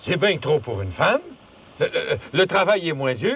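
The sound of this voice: Putting on a character voice, a man speaks at a fairly slow pace with a fairly high pitch, a fairly bright tone, vocal fry and big pitch swings.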